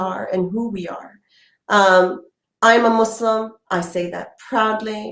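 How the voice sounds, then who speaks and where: With audible room echo around her, a woman with a Canadian accent speaks at a fairly slow pace with fairly even intonation. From Canada (Hamilton, Ontario). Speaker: political candidate. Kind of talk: interview.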